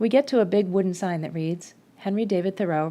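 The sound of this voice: Pitch moves in an ordinary way here. It is an unforced reading voice.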